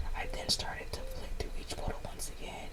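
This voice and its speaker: At a moderate pace, a woman whispers over noticeable background noise. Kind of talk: story reading. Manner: whispered.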